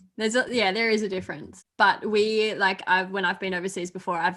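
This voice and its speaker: Against a quiet background, a woman talks at a fairly quick pace in an Australian accent. Her tone is bright and sharp. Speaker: YouTuber. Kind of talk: casual chat.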